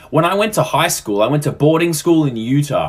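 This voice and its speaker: A fairly quick voice with an Australian accent, set against noticeable background noise. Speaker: social media creator. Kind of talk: casual storytelling.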